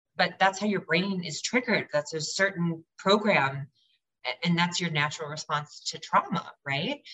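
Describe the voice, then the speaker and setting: This is a normal speaking voice at a moderate pace. Pitch variation is ordinary. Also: woman, fairly low pitch for a woman. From Michigan. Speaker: advocate for abuse survivors. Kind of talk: interview.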